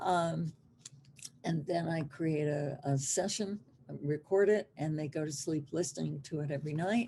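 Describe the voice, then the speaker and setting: A somewhat breathy woman's voice with a dark, mellow tone, very deep, low pitch, ordinary pitch variation, and a moderate pace. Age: 70s. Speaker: hypnotherapist. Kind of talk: interview.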